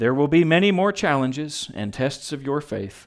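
On a very clean recording with a silent background, a man uses a normal speaking voice at a fairly high pitch and a fairly slow pace. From Texas. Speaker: pastor officiating a wedding. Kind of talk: wedding sermon. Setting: wedding ceremony with guests.

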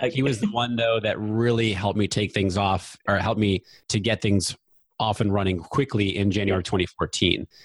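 A man with a fairly low pitch speaks at a fairly quick pace. His loudness stays very even. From US, New Hampshire. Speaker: Facebook ads expert, podcast host. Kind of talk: casual interview chat.

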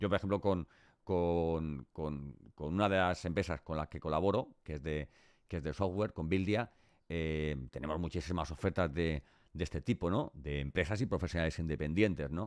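Dry and close with no echo, the recording has a quiet background. A man speaks at a very deep, low pitch with ordinary variation. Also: moderate pace. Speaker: podcast host. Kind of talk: interview.

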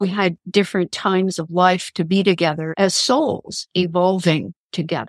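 In an unremarkable speaking voice, a woman with an American accent and a medium pitch talks at a moderate pace on a very clean recording with a silent background. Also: dry, close sound with no echo. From Kansas. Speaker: spiritual counselor and author. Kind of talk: interview.

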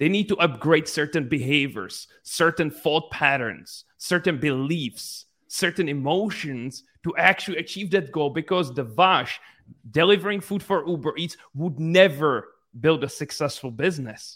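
A man with a non-native accent speaks at a moderate pace and a fairly high pitch with ordinary pitch variation. The recording is very clean with a silent background. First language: not English. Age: 20s. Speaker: entrepreneur and business coach. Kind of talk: interview.

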